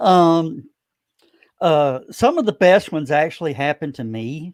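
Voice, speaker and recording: With a slight Southern US accent, a man talks at a fairly slow pace and fairly high pitch, with ordinary pitch variation and big swings in loudness, in a dry, close sound with no echo. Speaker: broadcaster and convention organizer. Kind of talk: casual interview chat.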